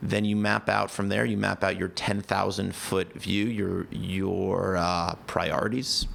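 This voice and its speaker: Against noticeable background noise, a man speaks at a fairly slow pace with very even loudness and hardly any pauses. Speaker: life coach and founder of a planning tool. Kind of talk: podcast interview.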